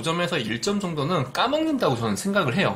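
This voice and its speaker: Here a man talks at a high pitch with very wide pitch swings. Noticeable background noise sits behind him. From Busan, South Korea. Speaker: business consultant and YouTuber. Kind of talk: vlog-style advice talk. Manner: direct, earnest.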